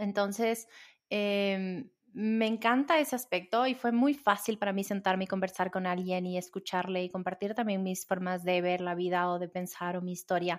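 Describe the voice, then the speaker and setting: The pace is moderate, and the pitch varies in an ordinary way in an unremarkable speaking voice. Background silence surrounds a very clean recording. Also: woman, medium pitch for a woman. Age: 40s. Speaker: breathwork coach and podcast host. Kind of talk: solo podcast monologue, Q&A answers.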